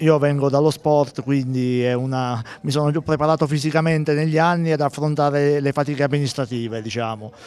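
At a fairly quick pace, a man with a normal speaking voice talks at a fairly high pitch with fairly even intonation. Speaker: town mayor. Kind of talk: live TV interview. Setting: outdoors at sporting event.

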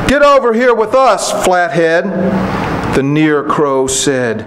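A man at a very slow pace, with very wide pitch swings and noticeable background noise. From Kentucky. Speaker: poet. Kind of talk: poetry reading. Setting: stage with audience. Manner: measured, unhurried, warmly conversational between poems; wry, gently humorous delivery with chuckles, dropping into a storyteller's cadence. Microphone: podium.

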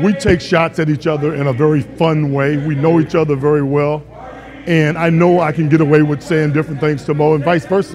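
The delivery is monotone and flat at a fairly quick pace, over noticeable background noise. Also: man, fairly high pitch for a man. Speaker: former basketball player, broadcaster. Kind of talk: interview answer.

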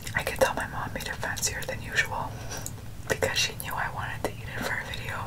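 A woman whispers at a very fast pace. She is soft-spoken. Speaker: food vlogger. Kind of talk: casual mukbang chat. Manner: soft close ASMR whisper. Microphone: earbuds.

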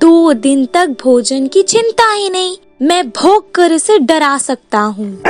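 A cartoonish character voice moves at a fairly slow pace while faint music plays in the background. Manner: sad, then gleeful, then scared.

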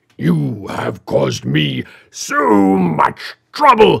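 Raspy and resonant, a put-on character voice rumbles at a very deep, low pitch and a very slow pace. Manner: stern, dramatic.

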